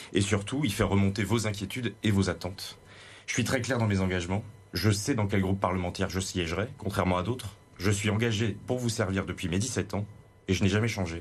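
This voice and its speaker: This man talks at a fairly quick pace with a fairly low pitch. His voice is somewhat breathy, with fairly even intonation. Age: 30s. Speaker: parliamentary candidate. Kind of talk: televised political debate.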